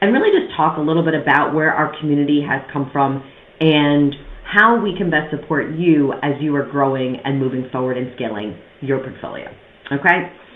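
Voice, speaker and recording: Lively intonation and a fairly quick pace carry the speech, in a New York accent. The room echo is audible and background noise is noticeable. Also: woman. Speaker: podcast host, real estate investor. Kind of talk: monologue podcast, personal story. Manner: fast; casual, conversational.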